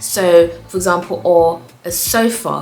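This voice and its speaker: A woman's fairly low voice with lively intonation, plus noticeable background noise and audible room echo. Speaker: interior design vlogger. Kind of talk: casual tutorial to camera. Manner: fast.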